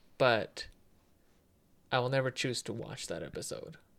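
A man talking at a moderate pace. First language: not English. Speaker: gaming podcast co-host. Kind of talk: casual chat. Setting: studio with headphones.

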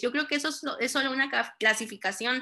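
A woman's raised, projected voice, bright and sharp, high in pitch with ordinary variation, at a moderate pace. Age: 30s. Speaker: preschool and primary teacher. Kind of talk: casual chat.

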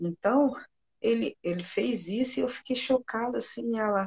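A woman's somewhat breathy voice moves with lively intonation, heard in a dry, close sound with no echo. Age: 40s. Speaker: nurse technician and jiu-jitsu teacher. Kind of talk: live stream interview.

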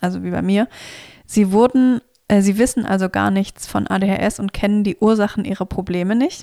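A woman's dark, mellow voice at a moderate pace, with fairly even intonation and a dry, close sound free of echo. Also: medium pitch for a woman. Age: 30s. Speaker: podcast co-host. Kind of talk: casual chat. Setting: co-host's home, sitting on the floor.

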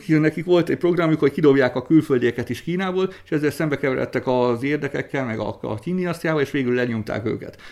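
At a fairly quick pace, a man with a fairly high pitch speaks with ordinary pitch variation. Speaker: traditional Chinese medicine practitioner. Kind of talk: interview. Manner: halting.

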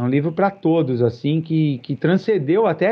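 A normal speaking voice, fairly quick, its pitch varying in an ordinary way. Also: man. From Brazil, São Paulo. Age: 40s. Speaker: vegetarian society president. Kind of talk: podcast interview.

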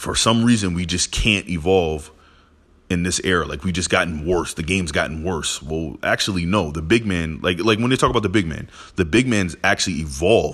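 Against a silent background in a very clean recording, a man with a very deep, low pitch talks in an animated tone at a fairly quick pace, his pitch varying in an ordinary way. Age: 20s. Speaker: sports podcaster. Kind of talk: solo opinion monologue.

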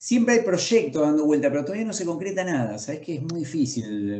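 Very wide pitch swings from a man, moving at a moderate pace. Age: 40s. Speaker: comic book author and illustrator. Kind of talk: interview.

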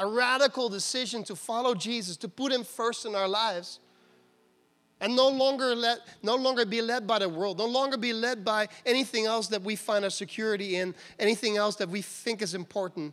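In a very clean recording with a silent background, a man speaks fairly quickly at a high pitch, animated in tone, with ordinary pitch variation. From Netherlands. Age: 40s. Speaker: pastor. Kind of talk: sermon. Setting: church.

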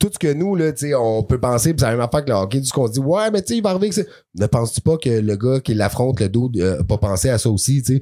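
With music playing in the background, a man talks at a very fast pace, his pitch swinging very widely. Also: medium pitch for a man. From western Quebec. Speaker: podcast co-host, battle rap commentator. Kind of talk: casual chat.

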